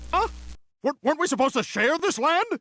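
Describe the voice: This man puts on a cartoonish character voice pitched extremely high. He talks at a fairly quick pace.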